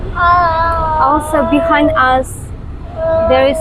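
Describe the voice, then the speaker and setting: A woman with a high-pitched voice talks very slowly over noticeable background noise, and the room echo is audible. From Estonia. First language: Russian. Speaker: vlogger. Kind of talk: casual chat. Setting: outdoors.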